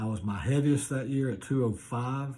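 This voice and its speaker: This voice has an American accent and a dark, mellow, somewhat breathy tone. It moves at a moderate pace with ordinary pitch variation. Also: man. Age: 60s. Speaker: masters athlete. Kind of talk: video application monologue. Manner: casual with frequent fillers.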